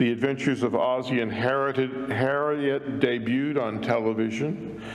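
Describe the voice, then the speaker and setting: A man with an American accent speaks at a medium pitch with fairly even intonation. Audible room echo and noticeable background noise fill the recording. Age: 70s. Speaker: minister. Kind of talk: sermon.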